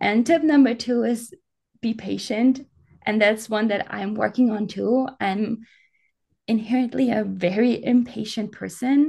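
A woman's dark, mellow, somewhat breathy voice, fairly high in pitch with ordinary variation, at a fairly slow pace. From Germany, Alpine region. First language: German. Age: 20s. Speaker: professional ultrarunner. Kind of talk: casual interview.

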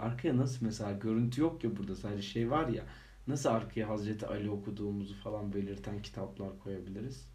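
A man's fairly low, somewhat breathy voice with a dark, mellow tone, ordinary pitch variation and a fairly quick pace, in audible room echo. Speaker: podcast co-host. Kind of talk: casual chat. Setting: home recording. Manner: laughing often.

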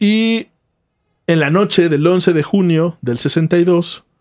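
Recorded very cleanly against a silent background, a man speaks with a Mexican accent in a dry, close sound with no echo. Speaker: podcast co-host. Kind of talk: storytelling.

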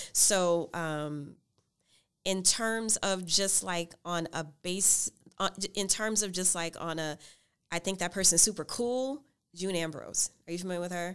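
A woman with an American accent and an unremarkable speaking voice talks at a fairly slow pace, medium pitch and ordinary pitch variation. The recording is very clean, with a silent background. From US South, New Orleans. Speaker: PhD student and talk show host. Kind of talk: casual interview. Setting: on campus recording.

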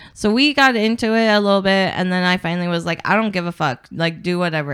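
Someone speaks with an American accent at a fairly quick pace, in a plain, everyday voice. The recording is very clean, with a silent background. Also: woman. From Portland, Oregon. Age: 30s. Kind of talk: casual chat.

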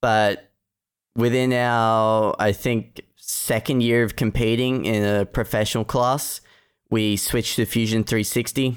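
Flat and monotone, this voice with an Australian accent moves at a fairly slow pace with very even loudness, on a very clean recording with a silent background. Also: man, medium pitch for a man. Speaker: student competitor. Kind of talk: casual technical discussion.

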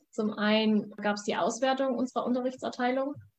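Speaking at a moderate pace, a woman has an ordinary speaking voice with fairly even intonation. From Saxony, Germany (Vogtland). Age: 20s. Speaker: student and competitive eventing rider. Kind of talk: interview. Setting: video call.

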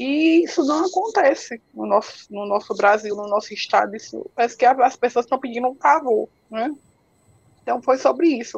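With lively intonation and high pitch, a woman speaks at a moderate pace. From Ceará, Brazil (interior). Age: 40s. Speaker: patient advocate with multiple sclerosis. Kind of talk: interview on a live stream. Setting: online live stream. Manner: halting, with repetitions.

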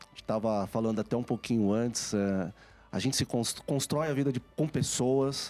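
With music in the background, a man speaks at a medium pitch and a moderate pace, his loudness very even and his pitch varying in an ordinary way. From São Paulo, Brazil. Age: 40s. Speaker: IT executive. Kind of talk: interview.

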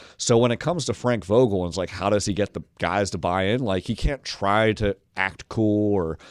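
This man uses a plain, everyday voice, fairly low in pitch, talking at a moderate pace with ordinary pitch variation on a very clean recording with a silent background. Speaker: NBA writer. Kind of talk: interview. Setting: studio.

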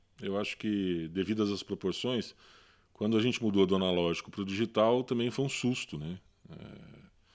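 Moderate pace and ordinary pitch variation in an ordinary speaking voice, on a very clean recording with a silent background. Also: man, fairly low pitch for a man. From Brazil, Paraná interior (Londrina). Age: 40s. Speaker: photo editor. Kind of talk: casual chat. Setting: at home.

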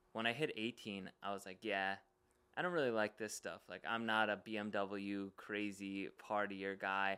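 A man's fairly low voice with a bright, sharp tone and an American accent, at a moderate pace with fairly even intonation. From Long Island, New York. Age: 20s. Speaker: real estate investor. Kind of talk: casual chat.

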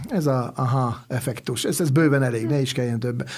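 Somewhat breathy, a man's voice carries a dark, mellow tone. His pitch is medium and his intonation fairly even. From Hungary, Swabian descent. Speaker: chef. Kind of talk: interview.

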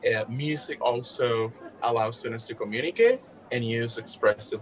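A man with a Puerto Rican accent at a moderate pace, with music in the background. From Puerto Rico. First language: Spanish. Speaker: music educator and graduate researcher. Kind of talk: interview.

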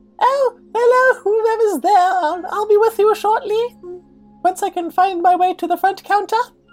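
In a put-on character voice, a female-sounding speaker uses an extremely high pitch at a moderate pace while faint music plays in the background. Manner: polite.

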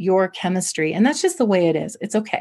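This woman's voice is somewhat breathy. She talks fairly quickly, with lively intonation. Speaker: clinical psychologist. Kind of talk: interview.

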